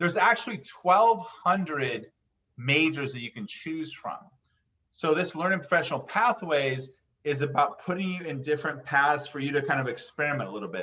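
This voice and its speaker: A man's fairly high voice moves with lively intonation. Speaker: college counselor. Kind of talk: workshop presentation. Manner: fast.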